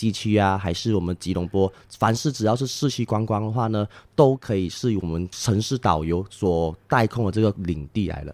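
On a very clean recording with a silent background and a dry, close sound with no echo, an unremarkable speaking voice moves at a fairly quick pace with ordinary pitch variation. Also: man. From Malaysia, Penang. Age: 20s. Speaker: tour guide. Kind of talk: casual interview. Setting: on location in Langkawi, Malaysia.

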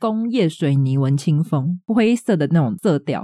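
Speaking with a Taiwanese accent, a woman uses a dark, mellow tone and very wide pitch swings, her sound dry and close with no echo on a very clean recording with a silent background. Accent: Taiwanese Mandarin. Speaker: podcast co-host. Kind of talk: casual chat.

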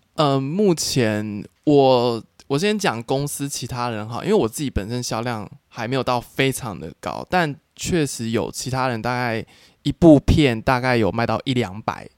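A man with a Taiwanese accent at a medium pitch, ordinary pitch variation and a fairly slow pace, on a very clean recording with a silent background and a dry, close sound with no echo. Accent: Taiwanese Mandarin. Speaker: adult film actor. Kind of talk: casual interview chat.

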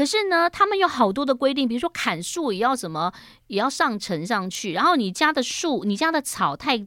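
The recording is very clean, with a silent background. A woman's high-pitched voice, bright and sharp in tone, makes very wide pitch swings. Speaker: radio host. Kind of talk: interview. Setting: studio.

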